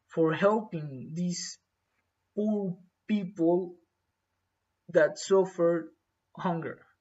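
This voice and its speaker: A man with a Spanish accent and a high pitch speaks at a very slow pace. He leaves long, frequent pauses. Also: ordinary pitch variation. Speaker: English learner. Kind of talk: exam practice monologue. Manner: halting, many fillers.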